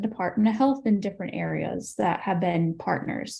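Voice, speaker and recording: This woman is soft-spoken. She talks at a fairly quick pace. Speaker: public health graduate. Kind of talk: panel discussion.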